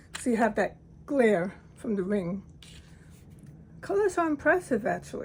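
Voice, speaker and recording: A woman speaks at a moderate pace and fairly high pitch. Her voice is somewhat breathy. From Latin American heritage. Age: 60s. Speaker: hobby watercolor artist. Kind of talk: casual talk to camera.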